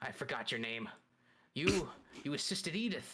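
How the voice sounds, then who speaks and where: A put-on character voice from a man, pitched fairly high and delivered at a moderate pace. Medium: actual play. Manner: curt, dismissive.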